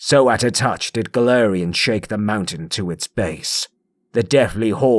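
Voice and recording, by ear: The pitch varies in an ordinary way as a natural voice reads aloud over a quiet background.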